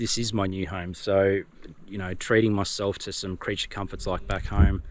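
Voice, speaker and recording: With an Australian accent, a man speaks at a fairly quick pace in a very deep, low pitch. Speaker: vlogger. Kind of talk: casual vlog talk to camera. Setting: outdoors by the water. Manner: hesitant, many fillers.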